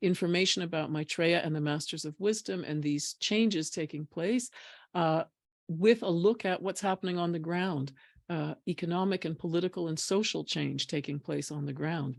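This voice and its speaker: On a very clean recording with a silent background, the speaker talks at a moderate pace. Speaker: spiritual talk show host. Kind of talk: panel discussion.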